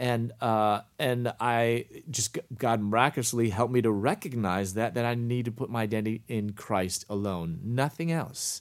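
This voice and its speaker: At a moderate pace with hardly any pauses, a man speaks in an unremarkable speaking voice, his pitch medium and its variation ordinary. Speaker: Bible professor. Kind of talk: casual interview.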